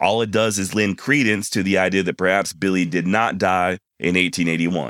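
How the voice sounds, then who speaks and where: A man with an American accent speaks at a moderate pace in a bright, sharp tone. The recording is very clean, with a silent background. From Texas. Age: 40s. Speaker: podcast host. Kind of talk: solo podcast monologue.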